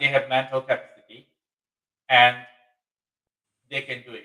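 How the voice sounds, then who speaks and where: The speaker is a man with a Bangladeshi accent. His voice is fairly high. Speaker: webinar host. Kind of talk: live webinar discussion. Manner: halting, many fillers.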